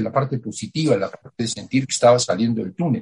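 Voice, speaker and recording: Talking at a very fast pace, a man with a medium pitch sounds somewhat breathy, his intonation lively. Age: 80s+. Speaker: writer. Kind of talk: interview. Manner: halting.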